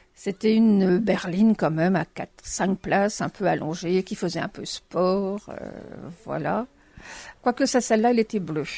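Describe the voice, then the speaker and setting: A woman's medium-pitched, dark and mellow voice at a fairly slow pace, with ordinary pitch variation, big swings in loudness, a dry, close sound with no echo, and a quiet background. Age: 60s. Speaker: retiree interviewee. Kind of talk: interview.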